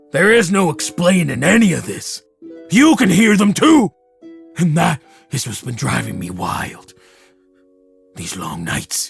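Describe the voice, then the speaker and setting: With faint music in the background, a man does a high-pitched put-on character voice at a fairly slow pace, leaving long, frequent pauses. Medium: actual play. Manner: earnest, wondering.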